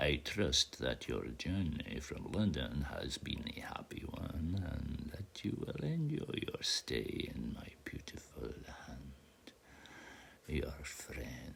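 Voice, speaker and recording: A man whispering in a put-on character voice at a very slow pace. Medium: read story. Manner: formal, measured.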